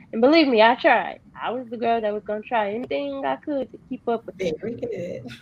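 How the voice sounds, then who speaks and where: A fairly high-pitched woman with a Texas accent talks at a fairly quick pace with hardly any pauses. Her pitch swings very widely over noticeable background noise. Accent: Southern US (Texas). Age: 20s. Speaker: guest sharing life story. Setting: video call. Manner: soft-spoken.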